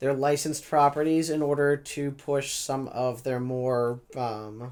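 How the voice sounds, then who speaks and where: This man talks at a fairly slow pace in a fairly high pitch. His intonation stays monotone and flat. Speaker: comic book reviewer vlogger. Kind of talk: casual review vlog. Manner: hesitant, many fillers.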